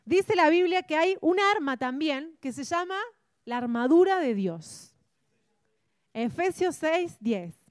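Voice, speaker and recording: At a very slow pace with long, frequent pauses, a woman speaks at an extremely high pitch that swings very widely. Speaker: church Bible class teacher. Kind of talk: interactive Bible class lecture.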